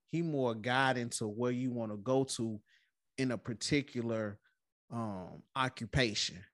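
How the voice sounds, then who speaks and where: A man's medium-pitched voice at a fairly slow pace against a quiet background. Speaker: podcast host. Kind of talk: casual chat.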